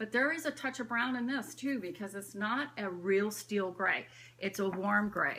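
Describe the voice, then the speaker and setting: Here is a woman with an unremarkable speaking voice, pitched in the medium range. She talks at a moderate pace with lively intonation. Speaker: bag collector vlogger. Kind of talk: casual show-and-tell vlog. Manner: chatty, filler-heavy.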